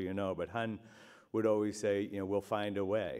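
There is a quiet background behind this man. He has an American accent and a fairly low pitch. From South Boston, Massachusetts; Massachusetts. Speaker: master of ceremonies; event emcee. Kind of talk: emcee speech at awards luncheon. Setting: hotel ballroom with audience. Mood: jovial, joking. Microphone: handheld.

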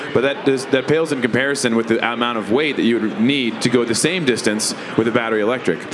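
There is noticeable background noise as a man talks at a very fast pace with very even loudness. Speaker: panelist. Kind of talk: panel discussion answer. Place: stage. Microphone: handheld.

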